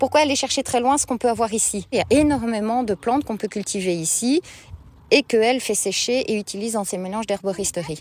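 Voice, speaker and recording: This woman has an ordinary speaking voice. Her fairly high pitch shows ordinary variation. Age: 30s. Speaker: market gardener. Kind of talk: interview. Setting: outdoors in a field.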